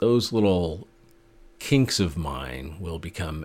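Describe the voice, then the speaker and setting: A man with an American accent, very deep and low in pitch with vocal fry, very wide pitch swings and a fairly slow pace. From US Pacific Northwest (Portland, Oregon; Montana). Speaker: podcast host. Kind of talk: solo monologue.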